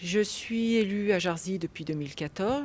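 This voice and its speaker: At a moderate pace, a woman talks in a plain, everyday voice, with ordinary pitch variation. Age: 40s. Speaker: local election candidate. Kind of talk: political interview.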